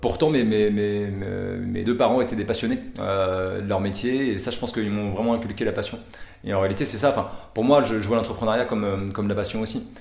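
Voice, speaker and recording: Over music in the background and audible room echo, a man talks at a fairly quick pace in a fairly low voice with fairly even intonation. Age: 30s. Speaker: startup founder. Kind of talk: interview. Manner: halting, many fillers.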